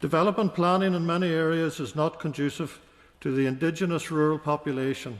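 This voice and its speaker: A man with a Northern Irish accent speaks at a fairly high pitch. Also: ordinary pitch variation, fairly quick pace, quiet background. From Northern Ireland, County Fermanagh. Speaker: politician, peer. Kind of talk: parliamentary maiden speech. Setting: legislative chamber. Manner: formal.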